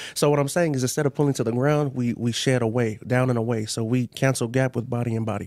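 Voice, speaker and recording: A man with an American accent, medium pitch, fairly even intonation, a very fast pace and hardly any pauses. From San Diego, California. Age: 20s. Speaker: football player. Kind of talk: casual interview.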